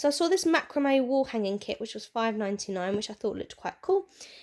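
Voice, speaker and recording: Very fast speech from a high-pitched woman with a British accent. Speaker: craft and shopping haul vlogger. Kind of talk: casual haul video monologue. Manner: chatty, with fillers.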